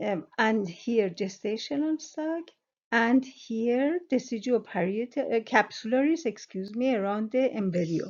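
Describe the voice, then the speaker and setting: At a fairly slow pace, a woman with a fairly high pitch speaks with lively intonation. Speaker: sonography exam tutor. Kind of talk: educational tutorial explanation. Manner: hesitant, many fillers.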